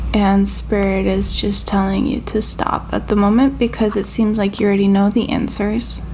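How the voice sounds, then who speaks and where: Over noticeable background noise, a woman talks at a moderate pace with hardly any pauses and very even loudness. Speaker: tarot reader. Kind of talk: channeled tarot reading. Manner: casual, filler-heavy; halting, stuttering.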